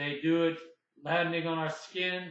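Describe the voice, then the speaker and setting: A man with a fairly high voice speaks at a fairly slow pace in a flat, monotone delivery. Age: 60s. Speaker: independent anti-aging researcher. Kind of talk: casual talk to camera.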